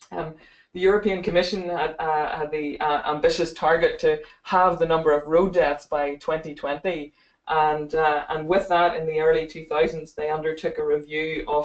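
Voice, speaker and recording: A woman with a Northern Irish accent speaks at a moderate pace in a very deep, low pitch, her intonation monotone and flat. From Northern Ireland. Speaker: optometry lecturer. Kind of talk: webinar presentation. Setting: online webinar. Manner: hesitant, many fillers and repeats.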